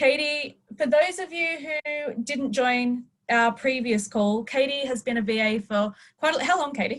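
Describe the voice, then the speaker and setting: Speaking in an Australian accent at a fairly slow pace, a woman has high pitch and ordinary pitch variation. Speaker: webinar host. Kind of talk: live webinar hosting. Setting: video call.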